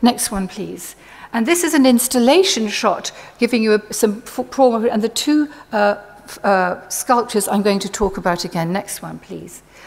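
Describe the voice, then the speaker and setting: At a moderate pace, a woman talks in a normal speaking voice, fairly high in pitch, with ordinary pitch variation and big swings in loudness. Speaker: art historian. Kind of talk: conference lecture.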